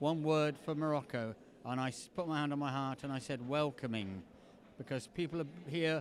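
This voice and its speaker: The speech has a moderate pace and ordinary pitch variation. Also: man. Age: 70s. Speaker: storyteller. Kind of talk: storytelling performance; interview. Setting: festival.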